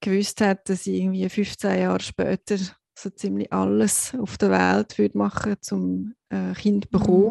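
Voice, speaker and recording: A woman speaks at a moderate pace. The sound is dry and close with no echo, and the background is quiet. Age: 40s. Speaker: podcast co-host. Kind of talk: personal testimony.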